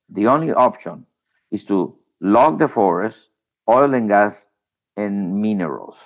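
A man with a Spanish accent speaks in a fairly low pitch with lively intonation at a fairly slow pace. He leaves long, frequent pauses against a quiet background. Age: 60s. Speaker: former environment minister. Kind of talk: interview.

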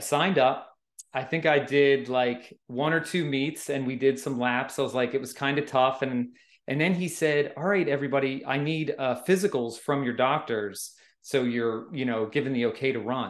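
A man's normal speaking voice at a moderate pace, with ordinary pitch variation. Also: medium pitch for a man. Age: 40s. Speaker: amateur trail runner, guest. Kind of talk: casual interview chat. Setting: remote call.

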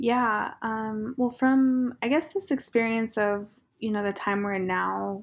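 Against a quiet background, a woman speaks in an unremarkable speaking voice. She keeps a fairly slow pace with ordinary pitch variation. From southeastern Montana, Cheyenne and Crow communities. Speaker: fashion designer and brand founder. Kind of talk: interview. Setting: video call.

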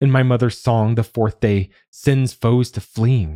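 A man's somewhat breathy voice, dark and mellow in tone, dry and close with no echo, in a very clean recording with a silent background. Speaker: podcast host and narrator. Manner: measured, soft and introspective, with a hushed, wistful tone in the reflective passages; clear and formal in the preface, steady pace.

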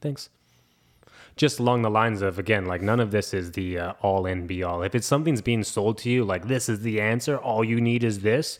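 A man with a plain, everyday voice, fairly low in pitch, at a fairly quick pace with ordinary pitch variation. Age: 30s. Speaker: fitness coach and podcast co-host. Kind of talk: casual chat.

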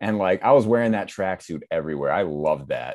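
A fairly quick, fairly low-pitched man with an American accent, over a quiet background. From Massachusetts. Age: 20s. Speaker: social media creator and actor. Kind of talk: casual chat.

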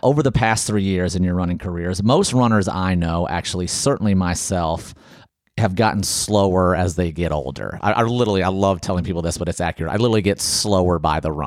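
In an American accent, a man talks very fast in a very deep, low voice with ordinary pitch variation. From Ohio. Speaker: podcast host, runner. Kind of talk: casual interview. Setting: studio, in person.

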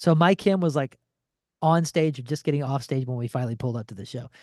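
Speech in an American accent with ordinary pitch variation, dry and close with no echo, against a quiet background. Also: man. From St. Louis, Missouri. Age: 40s. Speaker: rock musician and radio personality. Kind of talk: casual chat.

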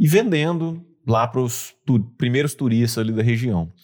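With lively intonation and a medium pitch, a man speaks in a slight Bahian accent on a very clean recording with a silent background. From Bahia, Brazil (Mucuri). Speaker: entrepreneur. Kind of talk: interview conversation.

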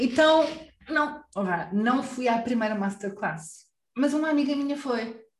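In a Lisbon accent, a woman with a high pitch and lively intonation speaks at a fairly slow pace with long, frequent pauses, and audible room echo around her. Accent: European Portuguese, Lisbon. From Lisbon, Portugal. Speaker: Mandarin teacher and online course creator. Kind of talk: interview.

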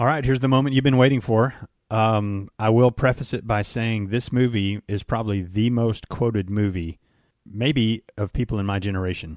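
Dry and close with no echo, a man's plain, everyday voice comes through at medium pitch, moderate pace and ordinary pitch variation. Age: 50s. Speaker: podcast co-host, father. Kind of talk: casual chat.

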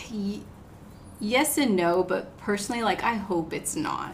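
With an American accent, the speaker goes at a fairly slow pace with ordinary pitch variation, amid audible room echo and noticeable background noise. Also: woman. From US South, south Georgia (Moultrie). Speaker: dentist. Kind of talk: casual chat.

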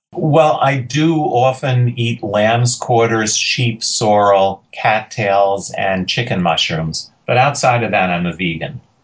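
With an American accent, a man speaks at a very slow pace with hardly any pauses and lively intonation. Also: medium pitch for a man. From New York City (Queens). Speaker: forager and foraging tour guide. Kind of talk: casual interview.

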